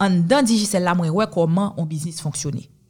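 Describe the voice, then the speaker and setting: A woman speaks at a fairly low pitch, somewhat breathy. The recording is very clean with a silent background. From Haiti. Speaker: lawyer and entrepreneur. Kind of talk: interview.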